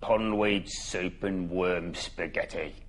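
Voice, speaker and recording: Putting on a croaky character voice, a man talks at a very slow pace with a fairly low pitch. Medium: read story.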